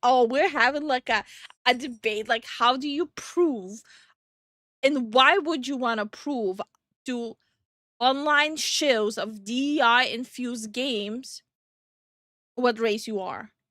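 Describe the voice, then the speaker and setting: A woman with an American accent speaks in a high pitch at a very slow pace, with long, frequent pauses and ordinary pitch variation. The recording is very clean, with a silent background and a dry, close sound with no echo. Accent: sounds American to listeners. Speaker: vtuber streamer. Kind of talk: casual chat. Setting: live stream.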